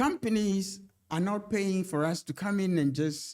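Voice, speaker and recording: A man speaks at a moderate pace with a dark, mellow tone. The recording is very clean, with a silent background. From Ghana. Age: 70s. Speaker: leadership coach and trainer. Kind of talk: podcast interview.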